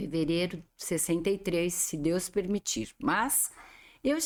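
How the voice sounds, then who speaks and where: A woman with a Brazilian accent is heard on a very clean recording with a silent background. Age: 60s. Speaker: professional organizer and show host. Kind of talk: interview chat.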